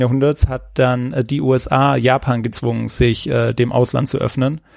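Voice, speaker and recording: Very slow, fairly even speech from a man at a medium pitch. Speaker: podcast co-host, China history explainer. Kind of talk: casual chat. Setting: recorded remotely, separate locations. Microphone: new headset.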